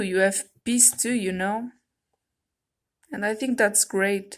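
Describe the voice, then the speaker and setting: At a fairly slow pace, a woman with a non-native accent and a fairly high pitch keeps her intonation fairly even on a very clean recording with a silent background. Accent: foreign. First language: non-native English speaker. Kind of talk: casual talk to camera, tarot deck review. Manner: hesitant, casual.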